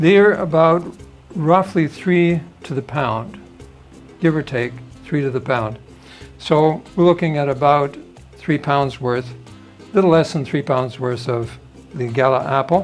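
Over faint background music, a man speaks at a fairly slow pace with long, frequent pauses. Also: ordinary pitch variation. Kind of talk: tutorial. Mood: light, chuckles at times. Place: kitchen. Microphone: camera far.

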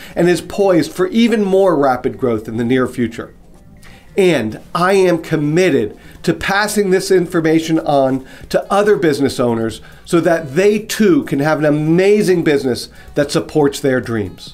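A man talks at a moderate pace while faint music plays in the background. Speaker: business coach. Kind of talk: promotional direct-to-camera talk. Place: office.

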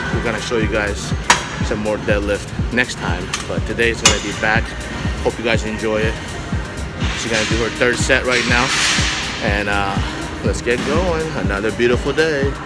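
A man talks over loud music in the background. He leaves long, frequent pauses. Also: moderate pace. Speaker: family vlogger. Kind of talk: casual vlog chat. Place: gym. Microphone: phone near.

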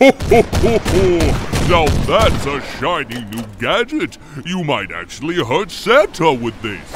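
A man puts on a character voice at a high pitch and a fairly slow pace. Clear background noise and sound effects play behind him.

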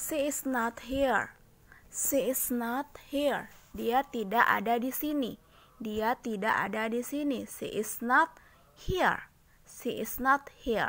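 Speaking at a very slow pace, a woman has a high pitch. The recording is very clean, with a silent background. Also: ordinary pitch variation. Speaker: English teacher. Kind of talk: tutorial. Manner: slow, repetitive drilling.

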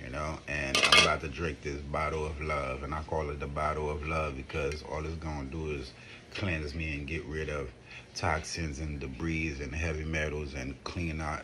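Over noticeable background noise, a man with a very deep, low pitch talks at a moderate pace in a monotone, flat intonation. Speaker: wellness vlogger. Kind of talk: casual vlog chat. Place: home room. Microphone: phone near.

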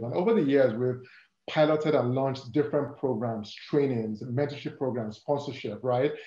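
This man, with an African accent, has a medium pitch and a dark, mellow tone that is somewhat breathy. He talks at a fairly quick pace with ordinary pitch variation, and audible room echo surrounds him. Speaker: corporate diversity and inclusion lead. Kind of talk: interview conversation. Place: home room. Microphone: video call.

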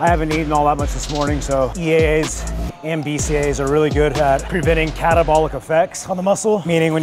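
With music playing in the background, a man speaks very fast. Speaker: fitness creator. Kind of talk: casual vlog chat explaining supplements. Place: gym. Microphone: lapel.

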